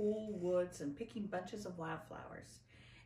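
This is an unforced reading voice. Nothing else stands out.

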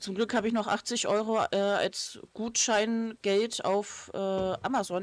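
A woman with an unremarkable speaking voice, medium pitch and fairly even intonation, hardly any pauses. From Lower Saxony, northern Germany. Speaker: gaming streamer. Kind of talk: casual chat while playing a game. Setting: live stream, recorded for video upload.

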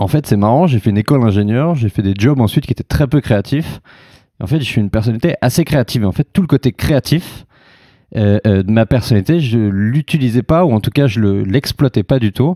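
Here a man talks at a fairly quick pace and medium pitch, with a dark, mellow tone and lively intonation. The loudness is very even, the sound is dry and close with no echo, and the recording is very clean with a silent background. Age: 30s. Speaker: co-founder of an outdoor travel startup. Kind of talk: interview.

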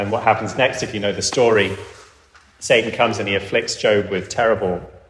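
At a moderate pace, a man with an English accent speaks over noticeable background noise. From England. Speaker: pastor. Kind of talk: sermon. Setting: church.

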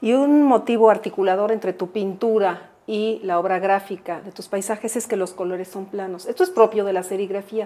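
Hardly pausing at all, a woman talks in a dark, mellow tone with big swings in loudness. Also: fairly even intonation, moderate pace. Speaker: art historian and TV presenter. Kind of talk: TV interview. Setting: artist's workshop. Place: workshop. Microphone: lapel.

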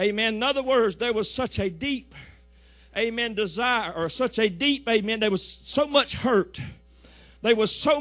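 Over a quiet background, a man with a Southern US accent speaks in a high pitch at a moderate pace, his tone animated and his pitch variation ordinary. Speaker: pastor. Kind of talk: sermon. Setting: church. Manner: animated, fervent preaching, punctuated by frequent "amen" calls; repetitive, rhythmic, building call-and-response cadence.

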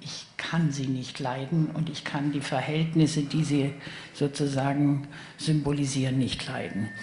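A woman's very deep, low voice at a fairly slow pace, fairly even in intonation, with audible room echo and light background noise. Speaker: author and politician panelist. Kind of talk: panel discussion. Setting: stage with audience. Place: stage. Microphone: handheld.

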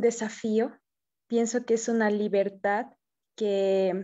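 Fairly high-pitched yet dark and mellow in tone, a woman speaks at a fairly slow pace with fairly even intonation. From Bolivia. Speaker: filmmaker. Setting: video call.

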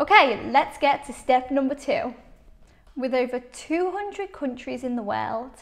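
The speaker has a Liverpool accent and lively intonation. The pace is fairly slow. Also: woman, high pitch for a woman. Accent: Scouse. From Liverpool, England. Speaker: English teacher. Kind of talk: English shadowing lesson. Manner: clear, slow.

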